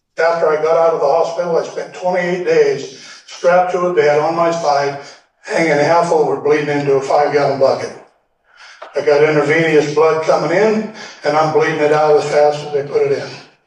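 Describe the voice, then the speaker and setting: In a room with audible echo, a man with a fairly high pitch talks at a fairly quick pace with fairly even intonation. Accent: American. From Oregon. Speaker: land patent teacher, Vietnam veteran. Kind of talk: lecture. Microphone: audio cleaned up, originally poor.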